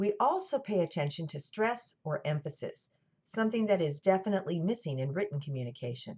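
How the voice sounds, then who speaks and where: Somewhat breathy and fairly low in pitch, a woman talks at a fairly quick pace with very wide pitch swings. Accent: General American. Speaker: college lecturer. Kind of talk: lecture. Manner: scripted, clear narration.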